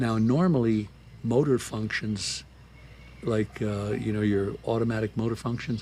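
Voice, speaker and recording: A man's fairly low, somewhat breathy voice with an American accent and ordinary pitch variation. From San Francisco. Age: 80s+. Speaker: army veteran, tango dancer. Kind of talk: interview answer. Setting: outdoors.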